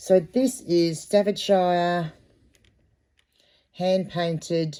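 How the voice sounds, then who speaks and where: In an Australian accent, a woman speaks at a medium pitch with a dark, mellow tone. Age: 50s. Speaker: online reseller. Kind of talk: casual unboxing vlog. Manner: hesitant, many filler ums.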